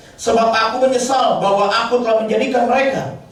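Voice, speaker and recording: An animated man's high voice amid audible room echo and noticeable background noise. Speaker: pastor. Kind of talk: sermon. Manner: fast.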